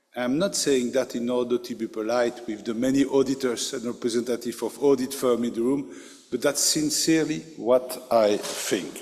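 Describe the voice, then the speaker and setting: Fairly even intonation from a man, with noticeable background noise behind him. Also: medium pitch for a man, moderate pace. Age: 60s. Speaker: financial regulator. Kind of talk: keynote speech. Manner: hesitant, with fillers.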